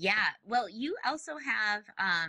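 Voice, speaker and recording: In a Minnesotan accent, a woman speaks with a bright, sharp tone on a very clean recording with a silent background. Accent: Minnesotan, long O vowels. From US Midwest, Minnesota. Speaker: podcast host. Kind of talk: interview. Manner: animated.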